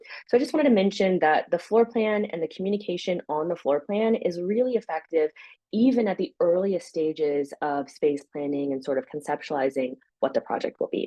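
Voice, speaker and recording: Against a quiet background, a woman talks at a fairly quick pace. Her medium pitch moves in very wide swings. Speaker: software company co-founder giving product demo; presenter. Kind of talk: software demo webinar. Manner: fast. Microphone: webcam.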